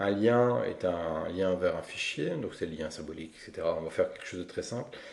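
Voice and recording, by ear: A man's low-pitched voice with vocal fry, a slightly mellow tone, lively intonation and a fairly quick pace.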